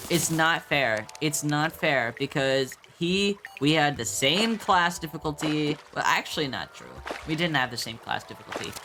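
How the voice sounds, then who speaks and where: The speaker keeps a moderate pace as music plays in the background. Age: 20s. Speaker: gaming streamer. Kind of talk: casual gameplay commentary. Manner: rambling, halting with fillers.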